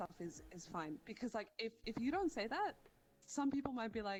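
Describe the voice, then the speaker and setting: Moderate pace from a woman with an Australian accent. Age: 20s. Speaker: streamer. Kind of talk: casual interview chat.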